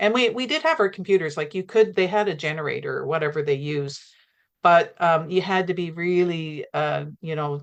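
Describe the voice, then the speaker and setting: Fairly quick speech in a Canadian accent, with ordinary pitch variation, over a quiet background. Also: woman. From Canada. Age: 60s. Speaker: pilgrim, gardener. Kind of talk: interview conversation. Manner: halting.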